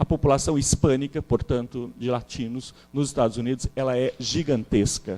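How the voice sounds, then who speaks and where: With hardly any pauses, a man talks at a moderate pace in a dark, mellow tone with fairly even intonation. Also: medium pitch for a man, dry, close sound with no echo. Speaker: historian, seminar speaker. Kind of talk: academic lecture.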